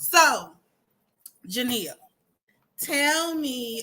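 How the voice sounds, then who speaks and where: On a very clean recording with a silent background, a woman speaks with lively intonation. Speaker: talk show host. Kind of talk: casual chat. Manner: loud.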